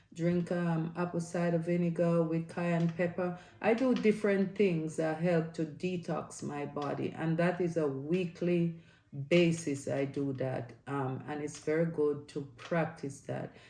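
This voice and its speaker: The voice has a dark, mellow tone and fairly even intonation, moving at a fairly slow pace with audible room echo. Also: woman, fairly low pitch for a woman. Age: 60s. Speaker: health and lifestyle vlogger. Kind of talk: casual video vlog tips. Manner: hesitant with frequent fillers.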